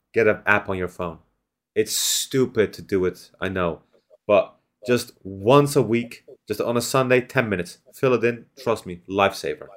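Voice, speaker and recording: Speaking in a plain, everyday voice, a man keeps a moderate pace, a medium pitch and ordinary pitch variation on a very clean recording with a silent background. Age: 20s. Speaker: podcast host and streamer. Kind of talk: casual chat.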